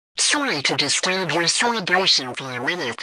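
A man talks at a moderate pace.

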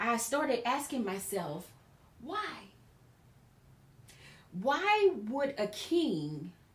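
A woman's voice swings very widely in pitch, with long, frequent pauses and audible echo from the room. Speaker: preacher / Bible teacher. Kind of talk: sermon-style Bible teaching in conversation. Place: studio.

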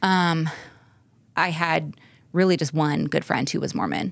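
A woman with an American accent speaks with a very deep, low pitch, vocal fry and fairly even intonation, the sound dry with no echo. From US West (California). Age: 40s. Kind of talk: personal interview. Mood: reflective, candid. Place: studio. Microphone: studio mic.

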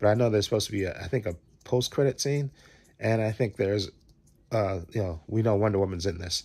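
Speaking at a very fast pace, a man with a fairly low pitch keeps his intonation fairly even. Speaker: movie fan vlogger. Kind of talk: casual vlog chat. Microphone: phone near.

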